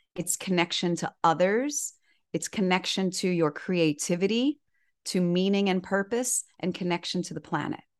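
A woman with an American accent and an ordinary speaking voice talks at a moderate pace and medium pitch with ordinary pitch variation against a quiet background. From Miami, Florida. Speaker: author and inspirational speaker. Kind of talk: interview.

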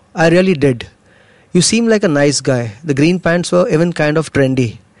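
Lively intonation and a fairly quick pace in a plain, everyday voice. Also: man. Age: 40s. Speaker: comedian. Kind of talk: casual chat.

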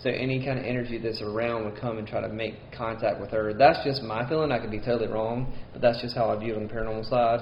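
Over noticeable background noise, a man with a medium pitch talks very fast in a monotone, flat intonation with hardly any pauses. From Mississippi. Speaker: co-host. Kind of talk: casual chat.

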